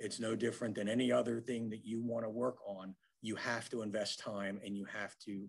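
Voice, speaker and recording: This man speaks fairly quickly at a medium pitch, with an American accent. His intonation is flat and monotone. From Philadelphia area, US. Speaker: business networking speaker, former accountant. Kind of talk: webinar presentation. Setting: online webinar. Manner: many fillers (um, uh).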